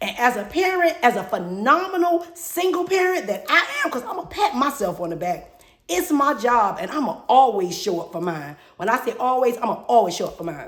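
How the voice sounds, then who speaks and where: Over noticeable background noise, a woman talks at a fairly quick pace in an animated tone. Her high voice swings very widely in pitch. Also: big swings in loudness. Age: 50s. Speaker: podcast host. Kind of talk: personal monologue. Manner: fast.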